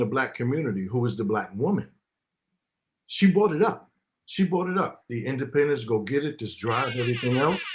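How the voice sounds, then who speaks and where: A man's fairly high, somewhat breathy voice moves through very wide pitch swings. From New York (Queens), summers in the US South. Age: 50s. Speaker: live stream guest, uniformed worker. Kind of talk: casual live stream discussion. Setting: live stream.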